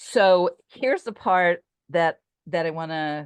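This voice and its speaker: A woman's fairly low voice with lively intonation, dry and close with no echo, against a quiet background. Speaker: torah teacher. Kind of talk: online group class.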